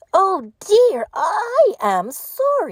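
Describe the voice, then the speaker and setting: A woman puts on a squeaky character voice at an extremely high pitch, swinging very widely in pitch. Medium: read story.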